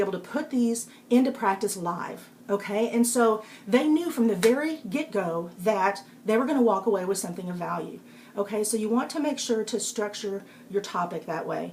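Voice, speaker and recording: A woman with a Texas accent, fairly high pitch and moderate pace, over noticeable background noise. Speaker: public speaking coach and author. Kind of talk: live-stream talk giving tips. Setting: live video broadcast on iPad. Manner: casual, with frequent fillers.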